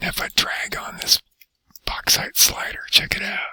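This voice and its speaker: A man whispers at a moderate pace, and the sound is dry and close with no echo. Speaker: teacher. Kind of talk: tutorial. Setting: library. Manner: soft-spoken.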